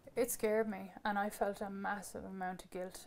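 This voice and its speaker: A woman with an Irish accent speaks at a moderate pace in a medium pitch. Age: 20s. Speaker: mother sharing personal experience. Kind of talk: testimony.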